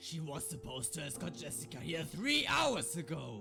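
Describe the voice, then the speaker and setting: Clear music plays behind a man doing a put-on character voice. It is raspy and fairly high-pitched, delivered at a moderate pace. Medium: machinima. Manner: smug, controlling.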